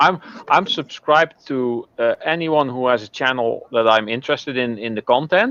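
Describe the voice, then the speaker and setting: A man's voice with a Dutch accent, ordinary pitch variation, and a dry, close sound with no echo. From southern Netherlands. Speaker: online video creator. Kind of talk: casual chat.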